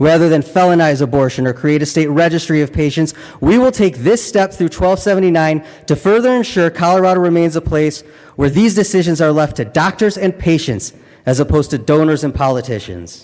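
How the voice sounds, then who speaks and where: Fairly high in pitch, a man's voice moves along at a fairly quick pace. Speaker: state legislator. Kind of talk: legislative floor speech. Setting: legislative chamber. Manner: formal.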